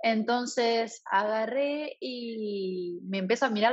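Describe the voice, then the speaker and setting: Her pitch is fairly high with ordinary variation, and this woman has an unremarkable speaking voice. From Argentina, rural Santa Fe province. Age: 20s. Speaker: traveler and translator. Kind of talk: casual interview.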